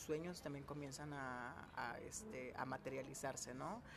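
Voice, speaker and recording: With audible room echo, a man of fairly high pitch speaks at a moderate pace with ordinary pitch variation. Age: 20s. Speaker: chemical engineer and youth career coach. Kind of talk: interview.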